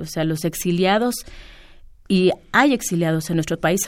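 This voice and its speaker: A woman has an unremarkable speaking voice, fairly low in pitch. She talks at a moderate pace. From Mexico, San Salvador Atenco. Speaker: land-rights activist. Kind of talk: radio interview.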